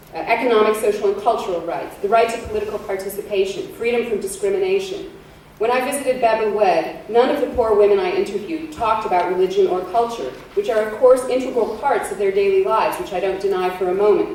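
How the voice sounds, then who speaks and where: A woman's fairly high, lively voice at a very fast pace, with noticeable background noise. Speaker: law professor and human rights speaker. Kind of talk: conference talk on human rights. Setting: conference hall.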